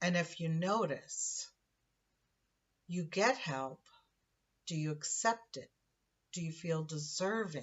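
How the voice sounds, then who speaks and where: Somewhat breathy and fairly low in pitch, a woman speaks very slowly with long, frequent pauses. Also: ordinary pitch variation. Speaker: spiritual teacher. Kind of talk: spiritual monologue. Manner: halting.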